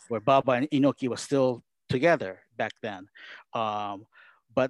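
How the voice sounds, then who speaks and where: A man with a Japanese accent and medium pitch speaks at a moderate pace in a dry, close sound with no echo, on a very clean recording with a silent background. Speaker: wrestling commentator. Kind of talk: casual interview.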